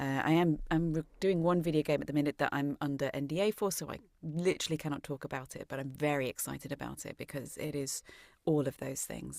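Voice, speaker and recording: A woman with an English accent speaks at a very deep, low pitch with fairly even intonation, the sound dry and close with no echo on a very clean recording with a silent background. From England, Shrewsbury. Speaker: actress and voice actress. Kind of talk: interview.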